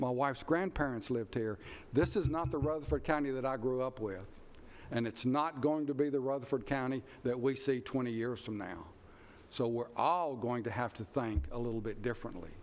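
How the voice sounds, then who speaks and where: With a Tennessee accent, a man talks at a fairly quick pace in a medium pitch with ordinary pitch variation. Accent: Southern US (Tennessee). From Middle Tennessee, US South. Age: 70s. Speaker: planning commission chair. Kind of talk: public meeting remarks.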